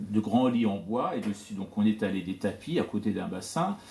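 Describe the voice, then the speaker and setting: In a Persian accent, a man speaks at a fairly slow pace with ordinary pitch variation. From Iran, Tehran, with early childhood in France. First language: Persian (speaking French). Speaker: poet and scholar of Persian literature. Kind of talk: talk to an audience. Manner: hesitant, many fillers.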